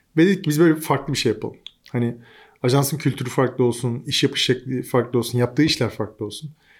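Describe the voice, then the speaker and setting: A man at a fairly quick pace. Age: 40s. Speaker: digital agency founder. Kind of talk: casual interview. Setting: studio at a venue. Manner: animated, laughs often.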